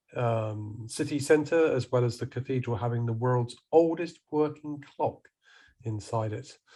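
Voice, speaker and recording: Speaking slowly-ish in a southern English accent, a man has a dark, mellow, somewhat breathy tone and ordinary pitch variation. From southern England (Salisbury, Wiltshire). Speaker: professional photographer. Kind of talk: presentation to a camera club. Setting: video call.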